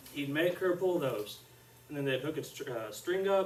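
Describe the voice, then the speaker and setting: Soft-spoken and very fast, a man with an Arkansas accent talks with ordinary pitch variation. Noticeable background noise and audible room echo fill the recording. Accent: Southern US (Arkansas). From central Arkansas (Conway area). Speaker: student teacher. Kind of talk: classroom lesson.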